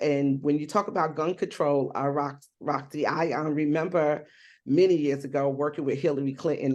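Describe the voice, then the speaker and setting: A woman with a very deep, low pitch and an American accent talks at a moderate pace with fairly even intonation over a quiet background. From New Jersey / New York. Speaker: activist and survivor advocate. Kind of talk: panel discussion.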